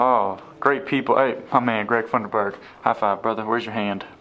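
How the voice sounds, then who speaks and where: Over noticeable background noise, a man talks fairly quickly at a medium pitch with ordinary pitch variation. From Chattanooga, Tennessee. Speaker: travel vlogger, former teacher. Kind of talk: vlog narration. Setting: walking into a TV station. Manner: animated.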